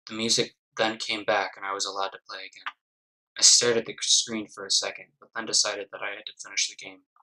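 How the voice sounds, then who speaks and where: A man talks at a very fast pace with big swings in loudness. The sound is dry and close, with no echo. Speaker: gaming YouTuber. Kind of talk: creepypasta story reading. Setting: poor-quality home mic. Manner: low-key, calm.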